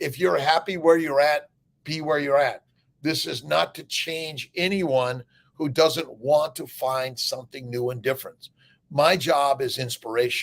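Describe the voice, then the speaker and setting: The voice moves at a fairly slow pace with ordinary pitch variation. Its loudness swings widely. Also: man, fairly high pitch for a man. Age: 60s. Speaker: doctor. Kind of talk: casual chat. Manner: animated; halting.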